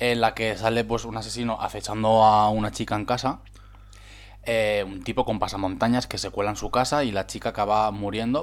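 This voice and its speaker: Speaking at a fairly quick pace, a man with a fairly low pitch keeps a monotone, flat intonation on a very clean recording with a silent background. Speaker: podcast co-host. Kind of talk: casual chat.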